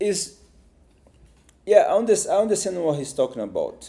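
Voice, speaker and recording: A man speaks with a Brazilian accent. His tone is dark and mellow. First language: Portuguese. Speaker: YouTuber reacting to videos. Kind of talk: reaction video commentary. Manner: halting, many repetitions and false starts.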